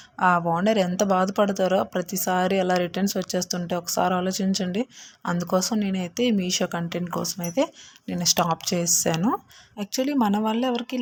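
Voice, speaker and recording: A woman speaks at a medium pitch in a somewhat breathy voice. Her intonation stays fairly even. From Andhra Pradesh. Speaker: vlogger. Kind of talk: scripted narration. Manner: halting.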